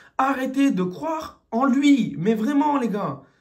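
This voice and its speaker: A man talks with lively intonation. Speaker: football fan commentator. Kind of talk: post-match rant. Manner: animated.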